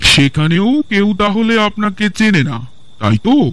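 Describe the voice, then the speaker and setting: High-pitched male voice in a put-on character style. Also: moderate pace. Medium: audio drama. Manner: polite, deferential, probing.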